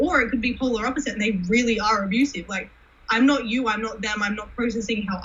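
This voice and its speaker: Talking very fast with an animated tone, a woman with an American accent and a fairly high pitch is heard over noticeable background noise. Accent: Australian, shifts toward American on camera. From Australia. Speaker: cosplayer. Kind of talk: casual chat.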